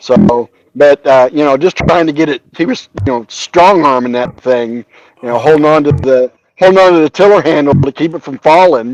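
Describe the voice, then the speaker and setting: A man's fairly high voice, an unremarkable speaking voice, moves at a moderate pace with ordinary pitch variation in a dry, close sound with no echo. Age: 50s. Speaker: army veteran. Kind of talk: casual chat.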